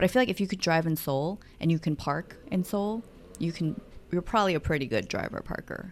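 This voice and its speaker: Using a plain, everyday voice, a woman talks at a fairly quick pace with a fairly low pitch and ordinary pitch variation. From United States (Korean-born, moved at five). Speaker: podcast co-host, mother. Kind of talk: casual chat.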